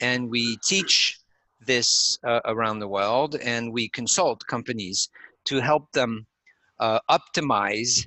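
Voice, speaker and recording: A man with a non-native accent at a very slow pace, medium in pitch with ordinary variation. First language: not English. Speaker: neuromarketing company founder. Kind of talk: interview explaining theory. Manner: hesitant with fillers.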